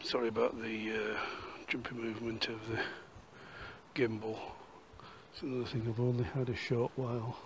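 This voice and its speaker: In a Yorkshire accent, a man talks in a flat monotone with long, frequent pauses, amid audible room echo and noticeable background noise. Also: medium pitch for a man, moderate pace. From Yorkshire, northern England. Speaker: walking and history vlogger. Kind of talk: casual walk-and-talk vlog narration; voiceover narration. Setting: outdoors.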